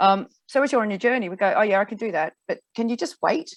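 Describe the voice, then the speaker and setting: A woman's fairly high voice in an Australian accent, very fast, with lively intonation. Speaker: finance broker. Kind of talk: interview.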